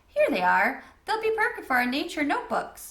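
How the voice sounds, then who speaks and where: A woman puts on a character voice at an extremely high pitch. Her pitch swings very widely as she talks at a fairly quick pace. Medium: read story. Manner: cheery.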